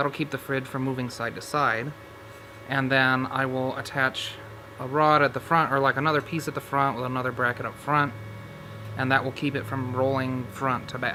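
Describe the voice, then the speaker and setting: Monotone, flat intonation at a moderate pace, with noticeable background noise. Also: man, medium pitch for a man. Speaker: DIY truck restoration YouTuber. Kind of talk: casual workshop tutorial. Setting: inside a truck.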